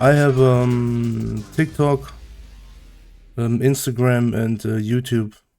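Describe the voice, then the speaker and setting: Music plays behind a man with a German accent. His medium-pitched voice is monotone, with flat intonation. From Germany. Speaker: streamer. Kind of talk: casual chat. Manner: halting.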